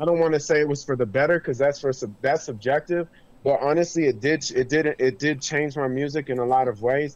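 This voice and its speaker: Here is a man with a plain, everyday voice. His pitch is fairly high and his intonation fairly even. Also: fairly quick pace. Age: 40s. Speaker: musician. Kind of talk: casual chat.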